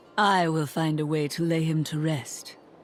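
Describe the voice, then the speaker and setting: A put-on character voice at a middle pitch. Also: moderate pace. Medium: video game. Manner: calm, terse.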